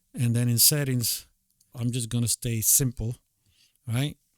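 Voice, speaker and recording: Speaking with a non-native accent, a man talks at a fairly slow pace and medium pitch. The recording is very clean, with a silent background. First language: not English. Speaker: tutorial creator, beatmaker. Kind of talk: screen-recorded tutorial. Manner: halting, many fillers; casual.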